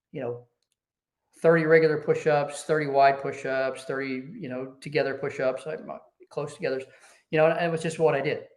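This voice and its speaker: A man's fairly high-pitched voice with audible room echo. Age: 60s. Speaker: business executive, Air Force veteran. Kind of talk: casual interview. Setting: podcast.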